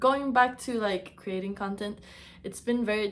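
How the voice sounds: Speaking in a Latin American accent, a woman uses a medium pitch. Her intonation is fairly even.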